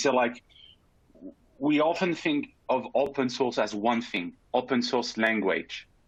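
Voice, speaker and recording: A man speaks with a French accent. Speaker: panelist, pharma data scientist. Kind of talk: panel discussion.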